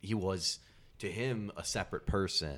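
With an American accent, a man speaks in a plain, everyday voice at a fairly low pitch. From US upper Midwest. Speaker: podcast co-host. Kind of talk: casual chat.

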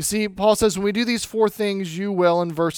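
A man with lively intonation on a very clean recording against a silent background. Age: 40s. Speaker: pastor. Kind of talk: sermon.

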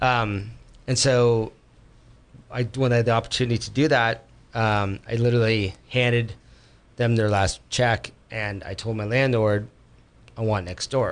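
Monotone and flat, a man's medium-pitched voice moves at a fairly slow pace with long, frequent pauses. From San Francisco Bay Area. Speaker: chef. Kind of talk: casual interview. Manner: halting.

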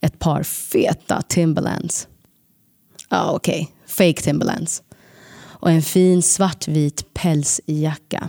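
A woman with a fairly low pitch and a dark, mellow tone speaks very slowly at a very even loudness. The sound is dry and close, with no echo. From Sweden. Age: 30s. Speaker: podcast storyteller. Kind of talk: scripted narration.

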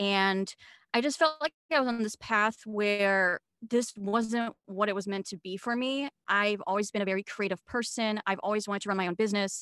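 A woman's bright, sharp voice at a moderate pace, dry and close with no echo, on a very clean recording with a silent background. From Switzerland. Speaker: video marketing coach. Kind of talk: interview guest, casual chat.

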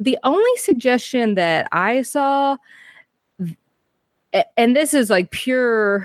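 A woman speaks in an ordinary speaking voice at a fairly slow pace with ordinary pitch variation. The sound is dry and close with no echo, over a quiet background. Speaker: podcast co-host.

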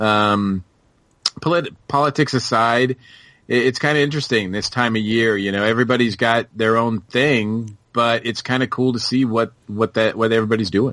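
In a normal speaking voice, a man with an American accent talks at a moderate pace and medium pitch, with fairly even intonation and very even loudness over a quiet background. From Massachusetts. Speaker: podcast guest, pop culture fan. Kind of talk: casual chat.

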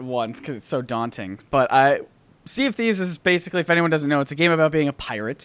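Lively intonation marks a man's ordinary speaking voice, which sits at a fairly high pitch. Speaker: YouTuber. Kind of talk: casual chat. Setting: video call.

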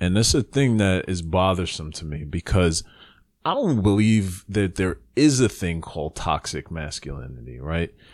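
A man with an American accent speaks at a very deep, low pitch and a fairly slow pace. His intonation is lively, and the recording is very clean with a silent background. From US Northeast, the Bronx, New York. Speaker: podcast co-host. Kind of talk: casual chat.

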